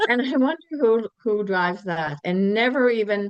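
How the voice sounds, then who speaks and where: A woman's medium-pitched voice, a normal speaking voice with lively intonation and a dry, close sound with no echo. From Cape Breton, Nova Scotia, Canada. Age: 60s. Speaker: skincare sales consultant. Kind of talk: casual interview chat. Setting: podcast.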